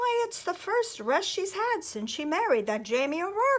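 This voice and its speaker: A woman puts on a squeaky character voice at an extremely high pitch. She speaks at a moderate pace with very wide pitch swings. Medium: read story.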